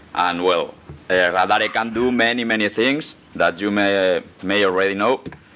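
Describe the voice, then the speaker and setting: A man speaks with a Spanish accent and a fairly low pitch. His intonation stays fairly even. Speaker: security researcher. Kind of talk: conference talk. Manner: halting.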